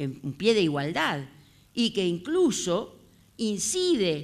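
A woman is speaking. Her pace is very slow. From Uruguay. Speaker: historian; historian lecturer. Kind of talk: lecture. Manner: halting. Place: classroom. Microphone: handheld.

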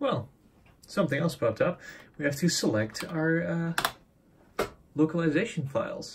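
With noticeable background noise, a man with a fairly high pitch talks at a moderate pace, leaving long, frequent pauses. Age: 20s. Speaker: tech youtuber. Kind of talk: tutorial. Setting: home workbench with camera on tripod. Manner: casual, hesitant with fillers. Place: home room. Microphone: phone near.

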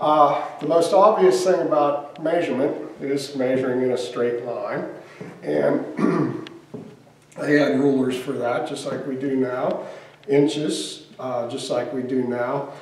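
Room echo can be heard. A man speaks fairly slowly. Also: ordinary pitch variation. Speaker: museum volunteer guide. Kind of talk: tutorial. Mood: cheerful, excited. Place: workshop.

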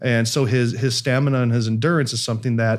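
In a quiet background, a man talks at a fairly quick pace with fairly even intonation. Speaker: priest podcast host. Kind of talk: podcast explanation. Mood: light, joking then explaining. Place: studio. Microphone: studio mic.

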